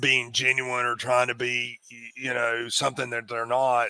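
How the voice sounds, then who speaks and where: The speaker has a strong Appalachian accent. The pace is moderate. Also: man. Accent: thick Appalachian. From US Appalachia, North Carolina. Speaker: executive recruiter and part-time comedian. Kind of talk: interview. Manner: halting, many repetitions.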